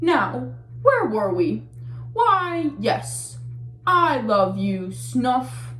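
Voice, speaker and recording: Over clear background noise, a man puts on a husky character voice and speaks at a very slow pace. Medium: read story. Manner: dry, haughty.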